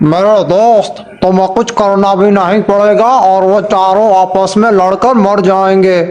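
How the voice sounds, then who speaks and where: In a cartoonish character voice, a man speaks with a high pitch at a fairly slow pace, his intonation monotone and flat, with hardly any pauses. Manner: eager, supportive.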